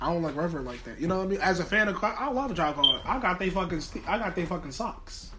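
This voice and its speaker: Over noticeable background noise, a raised, projected voice with an American accent rushes along at a very fast pace with lively intonation. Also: man, high pitch for a man. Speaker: podcast co-host. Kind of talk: casual chat. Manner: animated.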